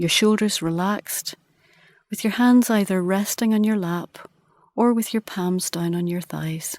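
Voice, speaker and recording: In a plain, everyday voice, a woman talks at a fairly slow pace, the sound dry and close with no echo on a very clean recording with a silent background. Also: medium pitch for a woman, fairly even intonation. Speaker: guided meditation narrator. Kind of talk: guided meditation.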